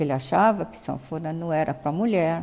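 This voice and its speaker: A woman's fairly low voice with a dark, mellow tone, at a fairly slow pace. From Brazil, São Paulo. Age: 80s+. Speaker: interviewee. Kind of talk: life story interview. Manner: halting.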